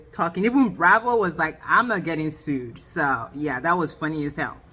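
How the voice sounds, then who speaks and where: A woman's animated voice at a moderate pace, with very wide pitch swings and noticeable background noise. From Nigeria. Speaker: TV reality show reviewer. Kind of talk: casual recap review. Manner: chatty, animated.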